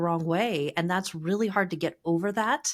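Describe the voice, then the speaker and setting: A woman's normal speaking voice at medium pitch with ordinary pitch variation, in a very clean recording with a silent background. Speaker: marketing agency co-founder. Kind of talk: podcast business discussion.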